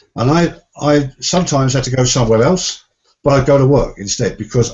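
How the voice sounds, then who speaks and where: A man with a medium pitch talks at a fairly quick pace, somewhat breathy, with lively intonation. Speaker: success coach and seminar trainer. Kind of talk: interview conversation.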